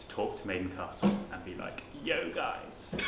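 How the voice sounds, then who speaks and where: A man's voice comes through with audible room echo over noticeable background noise. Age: 20s. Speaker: student election candidate. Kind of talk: election hustings Q&A. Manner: halting, many fillers.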